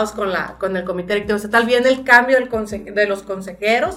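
Fairly high in pitch, a woman speaks. Her pace is moderate. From northern Sinaloa, Mexico. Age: 30s. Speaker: party leader and politician. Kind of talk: interview.

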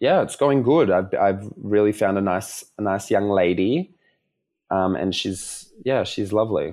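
A man with an Australian accent and fairly low pitch speaks at a fairly slow pace with ordinary pitch variation, in a very clean recording with a silent background. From Melbourne, Australia. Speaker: dancer and performer. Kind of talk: casual chat.

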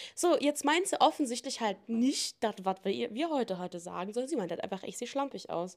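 A very fast woman with a fairly high voice and very wide pitch swings, in a very clean recording with a silent background. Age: 20s. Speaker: podcast host. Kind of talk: casual monologue answering listener questions.

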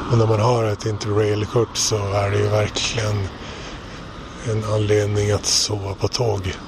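At a fairly slow pace and very even loudness, the speaker talks in a flat monotone over noticeable background noise. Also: man, fairly low pitch for a man. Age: 40s. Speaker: travel diarist. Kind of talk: audio travel diary. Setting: outdoors and on trains.

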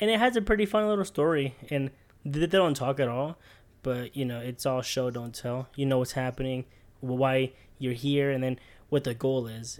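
At a moderate pace, a man talks in an ordinary speaking voice, fairly high in pitch with ordinary variation. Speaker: podcast co-host. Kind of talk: casual chat. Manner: casual, friendly.

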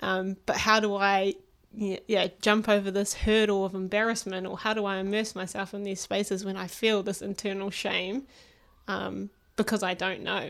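The recording is very clean, with a silent background. A woman of medium pitch speaks at a moderate pace in a monotone, flat intonation. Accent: New Zealand. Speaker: psychology doctoral student. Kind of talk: casual chat.

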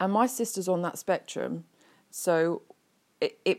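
A woman speaks at a fairly slow pace with an English accent. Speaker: podcast host. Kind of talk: casual monologue. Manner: halting, many fillers.

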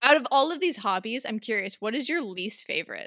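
A woman speaks with lively intonation and a bright, sharp tone. The recording is very clean with a silent background. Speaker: podcast co-host. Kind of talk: casual chat.

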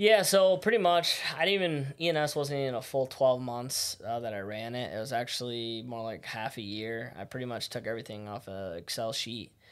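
Speaking at a fairly quick pace with hardly any pauses, a man with an American accent uses a medium pitch and lively intonation. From Syracuse area, central New York. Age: 20s. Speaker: roofing business owner, army veteran. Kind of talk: casual interview chat. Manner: halting, many fillers.

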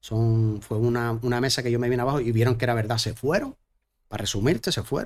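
Very fast speech from a man with fairly even intonation. The recording is very clean, with a silent background. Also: medium pitch for a man. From Canary Islands, Gran Canaria. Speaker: singer-songwriter. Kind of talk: casual chat.

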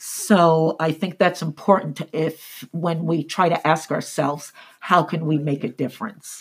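In an American accent, a woman with a somewhat breathy voice talks at fairly low pitch and a fairly slow pace with fairly even intonation. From US, military bases. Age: 50s. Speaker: real estate agent. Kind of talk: interview.

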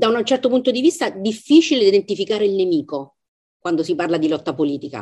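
Her tone dark and mellow, a woman of medium pitch speaks with very wide pitch swings. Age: 50s. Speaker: literary translator and professor. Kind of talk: book club discussion. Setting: video call.

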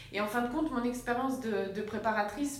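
A woman speaks at a moderate pace with ordinary pitch variation, amid noticeable background noise and audible room echo. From France, Sarthe. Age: 30s. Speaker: naturopath. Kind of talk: interview. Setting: her office.

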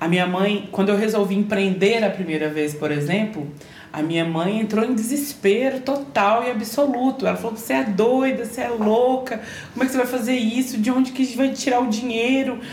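Lively intonation at a fairly quick pace, with audible room echo and noticeable background noise. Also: woman, fairly high pitch for a woman. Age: 30s. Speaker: chef and entrepreneur. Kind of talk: personal testimony in interview.

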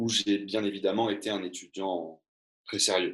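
A man speaks against a quiet background. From Var, southern France. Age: 30s. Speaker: teacher. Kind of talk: reading aloud; interview conversation. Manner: halting.

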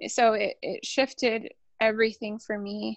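A woman's fairly high-pitched voice with an American accent. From South Lake Tahoe, California, US. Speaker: nurse midwife. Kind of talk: personal storytelling interview. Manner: calm.

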